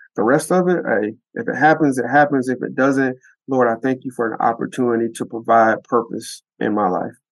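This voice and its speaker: A man with a plain, everyday voice and an American accent talks at a fairly quick pace over a quiet background. His medium pitch shows ordinary pitch variation. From US South, rural North Florida. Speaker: NFL front office executive. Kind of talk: interview.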